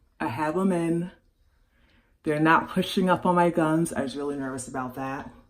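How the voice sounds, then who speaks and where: A moderate pace with audible room echo and ordinary pitch variation. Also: woman, long, frequent pauses. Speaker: vlogger. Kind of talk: casual vlog. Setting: bathroom.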